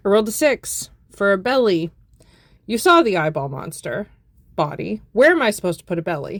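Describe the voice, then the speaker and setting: At a fairly quick pace, a woman of medium pitch talks with very wide pitch swings and long, frequent pauses. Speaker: crochet content creator. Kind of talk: casual tutorial vlog.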